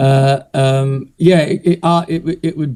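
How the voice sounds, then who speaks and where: A man speaks in a dark, mellow tone with a somewhat breathy quality. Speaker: illustrator. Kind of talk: interview answer.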